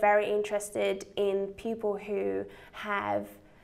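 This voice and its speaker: Audible room echo around a woman's fairly high-pitched voice. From Poland. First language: Polish. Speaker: biotech startup CEO. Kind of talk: interview. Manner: halting, many fillers.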